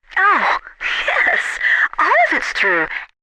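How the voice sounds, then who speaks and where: A woman's put-on character voice, squeaky and extremely high in pitch. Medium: audio drama. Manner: chatty, flirtatious.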